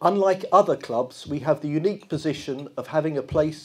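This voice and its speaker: With a London accent, a man speaks at a moderate pace in a fairly high voice with ordinary pitch variation. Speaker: football club chairman. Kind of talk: press conference statement. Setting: press conference. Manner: formal.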